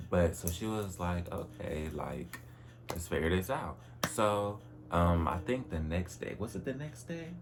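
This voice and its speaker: In a room with audible echo, a man with a very deep, low pitch speaks in an animated tone at a moderate pace. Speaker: vlogger. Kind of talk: personal vlog monologue. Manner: casual, animated.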